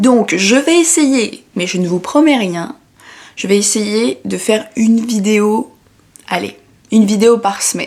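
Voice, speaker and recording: A woman speaks in a fairly high pitch. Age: 20s. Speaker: design student, YouTuber. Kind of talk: casual talk to camera. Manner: rambling, chatty, hesitant.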